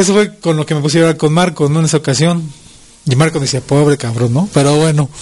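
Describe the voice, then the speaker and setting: Fairly high in pitch, a man rattles along at a very fast pace with fairly even intonation. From Mexico City. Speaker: fraternity president and public speaker. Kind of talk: interview.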